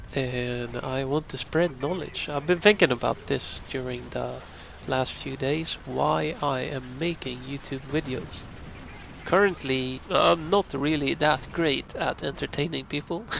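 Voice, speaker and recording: Speaking with a Swedish accent, a man keeps a fairly slow pace. His pitch is medium, with ordinary variation. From northern Sweden. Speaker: YouTube gamer. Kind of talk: casual talk to camera. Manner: pauses for breath.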